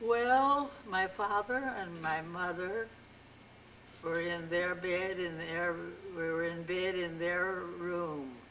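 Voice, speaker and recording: Over noticeable background noise, a woman with a fairly low pitch and ordinary pitch variation speaks at a very slow pace. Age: 80s+. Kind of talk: interview answer.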